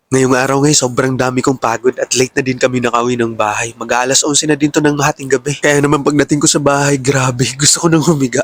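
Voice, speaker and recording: Over noticeable background noise, a man speaks at a very fast pace in a medium pitch. His intonation is fairly even, and the sound is dry and close with no echo. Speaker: cooking vlogger, overseas Filipino worker. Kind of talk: voice-over vlog narration. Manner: casual, conversational.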